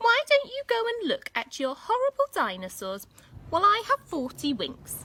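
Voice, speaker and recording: A woman speaks in a put-on character voice, raised and projected, at extremely high pitch with very wide pitch swings, at a moderate pace, with a dry, close sound and no echo. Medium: read story.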